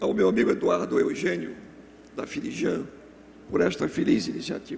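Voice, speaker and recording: A man puts on a hoarse character voice. He speaks at a moderate pace. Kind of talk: formal speech.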